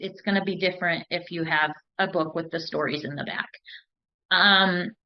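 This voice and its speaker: A woman speaks in a flat monotone. Her pitch is fairly low. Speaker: recovery step study leader. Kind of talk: study group talk. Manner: deliberately slow-paced.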